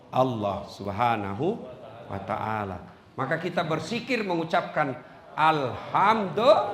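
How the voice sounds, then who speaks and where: Over noticeable background noise, a man speaks at a fairly slow pace with fairly high pitch and very wide pitch swings. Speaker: Islamic preacher; university lecturer. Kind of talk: religious sermon. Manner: humorous, relaxed.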